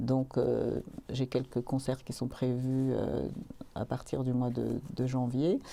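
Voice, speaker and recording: The voice moves at a very slow pace, dark and mellow in tone, with monotone, flat intonation. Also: woman, very deep, low pitch for a woman. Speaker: singer-songwriter. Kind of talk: interview. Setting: studio.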